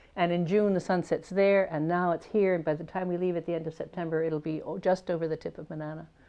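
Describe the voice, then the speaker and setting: Music plays in the background behind a woman with an American accent. She speaks at a fairly low pitch and a very fast pace with fairly even intonation. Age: 70s. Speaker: painter. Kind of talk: interview. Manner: halting.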